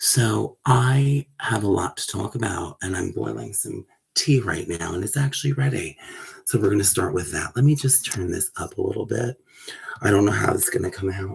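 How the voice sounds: A man's put-on character voice, raspy and medium in pitch, at a moderate pace.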